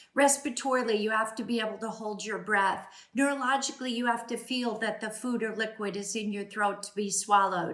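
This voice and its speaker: A woman with a fairly high pitch talks at a fairly quick pace with fairly even intonation. Noticeable background noise and audible room echo are present. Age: 60s. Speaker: speech-language pathologist. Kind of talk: educational talk. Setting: at home.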